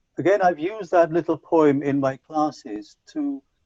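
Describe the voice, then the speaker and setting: The man's dark, mellow tone comes at a fairly slow pace. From Punjab, India. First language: Punjabi. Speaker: English language teacher trainer. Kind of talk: conference talk. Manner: hesitant with fillers.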